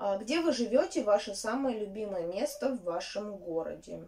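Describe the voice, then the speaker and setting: A woman speaks at a very slow pace in a dark, mellow tone. Her pitch is fairly high and her intonation lively. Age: 30s. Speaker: knitting vlogger; vlogger. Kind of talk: casual vlog chat. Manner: halting, many filler sounds. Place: home room. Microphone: phone near.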